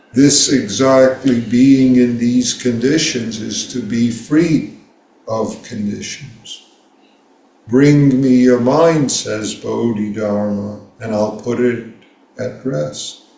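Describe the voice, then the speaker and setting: Speaking at a very slow pace, this voice has an American accent and a dark, mellow tone. Pitch varies in an ordinary way, and the room echo is audible. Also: man, medium pitch for a man. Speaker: Zen teacher. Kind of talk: dharma talk.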